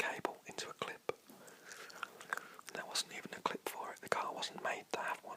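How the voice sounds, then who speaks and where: Over noticeable background noise, a man whispers in a relaxed tone. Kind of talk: casual talk to camera. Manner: whispered, relaxed.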